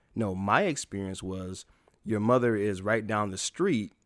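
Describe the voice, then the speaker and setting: A man's fairly low voice with an American accent, ordinary pitch variation and a moderate pace. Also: very clean recording, silent background. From US Midwest (Chicago, Toledo, Ohio). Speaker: ordained minister and speaker. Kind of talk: personal testimony interview.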